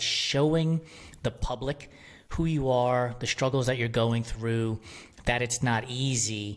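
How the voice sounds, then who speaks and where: With an unremarkable speaking voice, a man speaks at a medium pitch with ordinary pitch variation. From New York City (Bronx), Puerto Rican family. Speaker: media company founder. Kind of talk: podcast interview.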